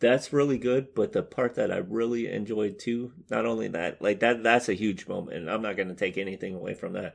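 Over a quiet background, a man speaks with an ordinary speaking voice at a medium pitch. His intonation is fairly even, and he keeps a fairly quick pace with hardly any pauses. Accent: American. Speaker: podcast co-host. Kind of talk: casual banter chat.

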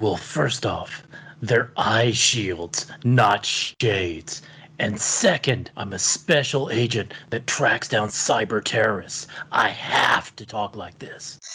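A put-on character voice whispers in a gravelly way. It moves at a very slow pace. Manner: serious, defensive.

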